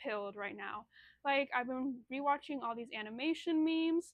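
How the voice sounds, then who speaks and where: A woman's lively intonation rises and falls as she talks at a moderate pace. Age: 20s. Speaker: vlogger. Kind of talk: casual chat. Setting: home, phone propped on candle. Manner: halting. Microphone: phone camera.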